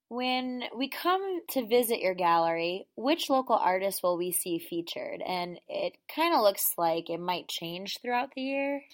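A fairly high-pitched woman with an American accent, at a fairly slow pace with very wide pitch swings, on a very clean recording with a silent background. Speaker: podcast host. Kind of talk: interview.

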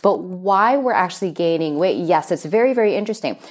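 Lively intonation marks a normal speaking voice at a fairly quick pace on a very clean recording with a silent background. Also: woman. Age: 40s. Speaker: sports nutrition coach. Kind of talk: interview.

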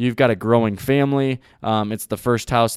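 In a very clean recording with a silent background, a man with a normal speaking voice talks at a medium pitch and a fairly quick pace. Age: 30s. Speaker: real estate podcast host. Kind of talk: solo podcast monologue. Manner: frequent filler words (um); casual, upbeat.

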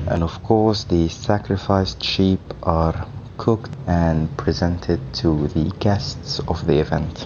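A man with a very deep, low pitch and ordinary pitch variation speaks at a very slow pace with very even loudness, over noticeable background noise. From Sudan. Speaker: guest sharing cultural traditions. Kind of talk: prepared explanation.

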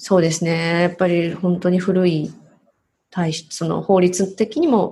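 A woman speaks in a normal speaking voice, fairly low in pitch for a woman. Her pace is fairly slow and her intonation fairly even. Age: 40s. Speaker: bilingual MC and narrator. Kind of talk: interview.

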